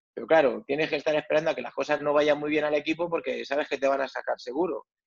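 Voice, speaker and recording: Dry, close, echo-free sound of a fairly high-pitched man speaking in a flat monotone. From Madrid, Spain. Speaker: retired footballer. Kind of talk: interview. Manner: halting.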